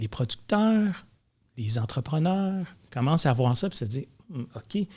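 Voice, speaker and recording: Somewhat breathy, a man speaks very slowly with very wide pitch swings. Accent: Quebec. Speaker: film and advertising producer. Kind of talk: casual chat. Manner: repeats words, hesitant starts.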